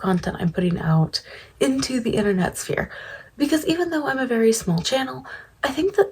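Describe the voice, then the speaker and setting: A soft-spoken woman whispers at a very fast pace. Noticeable background noise is present. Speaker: commentary youtuber. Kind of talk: casual commentary chat. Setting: home at night. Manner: whispering, soft-spoken. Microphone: quiet audio, ASMR-like quality.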